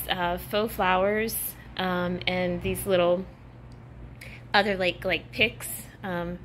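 A woman's bright, sharp voice at a very slow pace over light background noise. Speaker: home decor vlogger. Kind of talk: casual vlog chat. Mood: cheerful, upbeat. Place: home room. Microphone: phone near.

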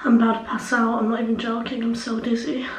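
Speaking at a very fast pace with monotone, flat intonation, a woman is heard with audible room echo. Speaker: vlogger. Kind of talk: casual vlog chat. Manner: weak, faint, dizzy voice. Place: bathroom. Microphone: phone near.

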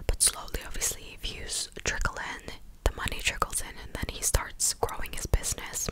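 A woman's whispering, with noticeable background noise. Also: moderate pace. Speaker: commentary vlogger. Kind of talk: casual commentary. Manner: close-mic clicky whisper. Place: home room. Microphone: studio mic.

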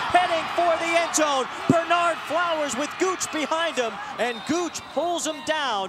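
Through noticeable background noise, a man speaks at an extremely high pitch with ordinary pitch variation. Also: fairly slow pace. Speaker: play-by-play sports announcer. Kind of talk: live high school football play-by-play commentary. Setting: stadium broadcast booth.

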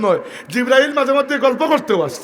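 A loud voice comes through over noticeable background noise. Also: man. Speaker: Islamic preacher. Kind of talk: sermon.

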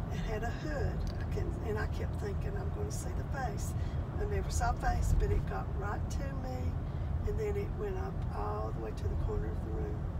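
The speech moves at a moderate pace with hardly any pauses. Loud background noise fills the recording. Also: woman. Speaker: storyteller. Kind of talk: personal ghost story told in conversation. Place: car. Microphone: phone near.

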